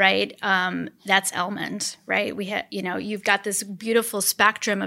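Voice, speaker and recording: Recorded very cleanly against a silent background, a woman's medium-pitched voice has a bright, sharp tone with vocal fry. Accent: American. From central Wisconsin (Portage County). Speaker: nonprofit foundation CEO. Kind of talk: interview.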